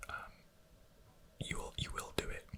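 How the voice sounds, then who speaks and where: Someone whispers in a relaxed tone at a moderate pace against noticeable background noise. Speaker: ASMR content creator. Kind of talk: whispered ASMR talk to camera about creativity and time. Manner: whispering, relaxed, hesitant with many fillers.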